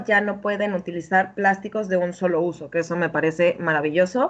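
Woman's medium-pitched voice, fairly quick pace, ordinary pitch variation. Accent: Mexican. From Mexico. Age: 30s. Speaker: health and habits coach. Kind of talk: interview.

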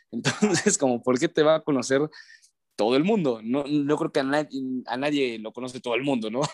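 A man with a normal speaking voice talks at a fairly quick pace and fairly high pitch, with ordinary pitch variation and a dry, close sound with no echo against a quiet background. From León, Guanajuato, Mexico. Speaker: sports broadcaster. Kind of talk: casual chat.

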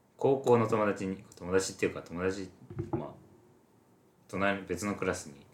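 Speaking at a moderate pace, a man uses a fairly low pitch with ordinary pitch variation. His loudness swings widely, and he leaves long, frequent pauses. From Japan, Shizuoka. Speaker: podcast co-host, university student. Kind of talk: casual chat.

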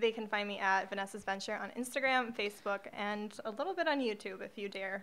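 A woman speaks in a normal speaking voice at medium pitch with ordinary pitch variation. Her pace is fairly quick, with hardly any pauses. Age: 20s. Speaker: social media marketer. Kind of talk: casual chat.

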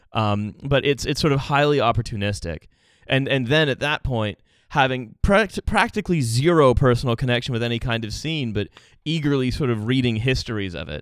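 Against a silent background in a very clean recording, a man with an unremarkable speaking voice talks at a fairly quick pace in a medium pitch with lively intonation. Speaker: podcast guest. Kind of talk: casual discussion podcast.

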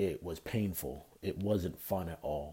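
The voice has a dark, mellow tone and is somewhat breathy. Intonation is fairly even, on a very clean recording with a silent background. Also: man. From Canada. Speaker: podcast host. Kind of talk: solo podcast talk.

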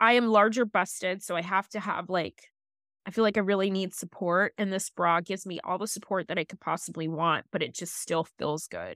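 A woman with a normal speaking voice and medium pitch talks at a fairly quick pace with fairly even intonation, on a dry, close, very clean recording with a silent background and no echo. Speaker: podcast co-host. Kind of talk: casual chat.

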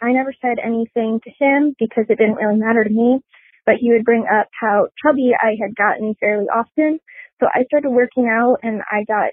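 This woman has a normal speaking voice, fairly high in pitch. She talks at a fairly quick pace with fairly even intonation. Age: 20s. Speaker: caller. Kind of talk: voicemail.

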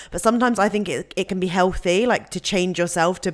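Very fast and fairly low-pitched, a woman speaks with a British accent and ordinary pitch variation in a very clean recording with a silent background. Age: 20s. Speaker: podcast host. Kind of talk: casual interview chat.

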